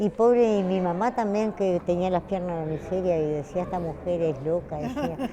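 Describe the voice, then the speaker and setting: A woman's medium-pitched voice with hardly any pauses, over noticeable background noise. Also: ordinary pitch variation, moderate pace. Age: 70s. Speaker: retired textile worker. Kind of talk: interview.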